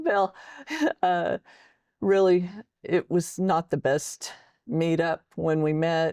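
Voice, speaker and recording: A woman's fairly low, dark, mellow voice with an American accent, very slow with long, frequent pauses, fairly even intonation and very even loudness, in a dry, close sound with no echo. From Texas. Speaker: military veteran and author. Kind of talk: interview testimony.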